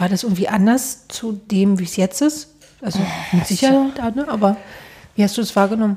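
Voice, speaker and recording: A woman's normal speaking voice, medium in pitch, fairly quick, with ordinary pitch variation. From East Germany. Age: 30s. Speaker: podcast host. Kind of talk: casual interview. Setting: studio.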